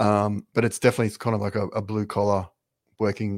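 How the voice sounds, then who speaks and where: In a very clean recording with a silent background and a dry, close sound with no echo, a man with a fairly low pitch talks very fast with an Australian accent. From Australia, Brisbane. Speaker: golf brand founder. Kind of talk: casual interview. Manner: halting, many fillers.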